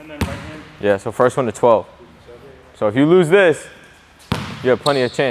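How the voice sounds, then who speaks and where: A man at a moderate pace with long, frequent pauses, over light background noise. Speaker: basketball trainer. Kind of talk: coaching instruction during workout. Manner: animated. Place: gym.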